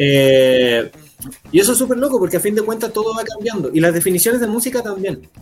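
The man's delivery is fairly quick, with noticeable background noise behind it. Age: 20s. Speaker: musician. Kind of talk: casual chat.

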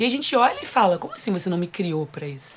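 Fairly quick pace against noticeable background noise. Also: woman. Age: 20s. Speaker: podcast host. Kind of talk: casual chat.

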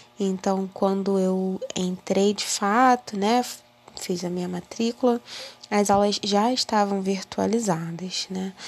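A woman at a very slow pace, with fairly even intonation. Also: medium pitch for a woman. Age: 20s. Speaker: university student. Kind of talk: personal monologue.

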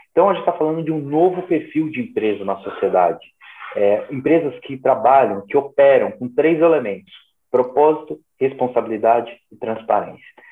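A man has a normal speaking voice, using lively intonation at a fairly high pitch and a moderate pace. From São Paulo, Brazil. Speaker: social entrepreneur. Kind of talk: interview.

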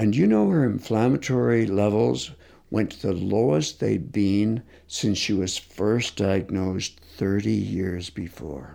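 Speaking at a very slow pace, a man with a fairly low pitch and a dark, mellow tone uses lively intonation. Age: 60s. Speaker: concussion expert and physiotherapist. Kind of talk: interview.

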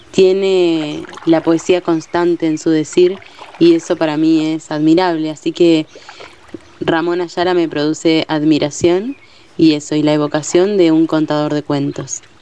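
Very deep and low in pitch, a woman speaks with monotone, flat intonation. Her pace is fairly slow over noticeable background noise. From Entre Ríos, Argentina. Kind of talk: personal reflection.

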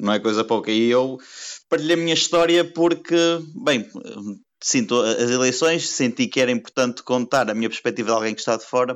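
This man has an ordinary speaking voice and a medium pitch. He talks fairly quickly, with ordinary pitch variation. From Portugal, Porto. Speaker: economics consultant and emigrant. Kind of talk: podcast interview.

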